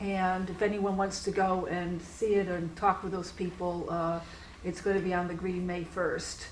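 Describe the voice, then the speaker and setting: A woman speaks at a moderate pace in a monotone, flat voice. Noticeable background noise runs under her. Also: medium pitch for a woman. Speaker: audience questioner, retired diplomat. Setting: lecture hall with audience questions.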